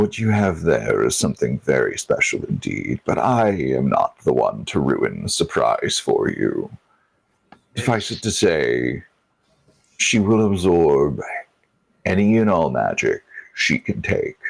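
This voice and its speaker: A man speaks in a put-on character voice. His pace is fairly slow, broken by long, frequent pauses. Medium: actual play. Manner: condescending, knowing.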